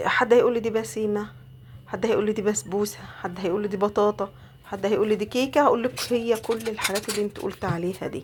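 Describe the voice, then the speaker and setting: Over noticeable background noise, a woman with an Egyptian accent talks very fast at a fairly high pitch. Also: ordinary pitch variation. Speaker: home cook. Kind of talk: cooking tutorial. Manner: casual, chatty.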